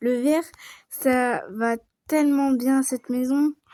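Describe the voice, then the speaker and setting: A woman's dark, mellow tone comes through with a dry, close sound and no echo. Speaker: gaming youtuber. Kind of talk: casual let's-play commentary.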